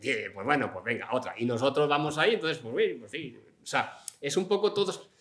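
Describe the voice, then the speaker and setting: With very wide pitch swings and big swings in loudness, a man speaks in a fairly high pitch. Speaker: novelist; interviewee. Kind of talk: public interview before audience. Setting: stage with live audience. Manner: talkative, fast. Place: hall.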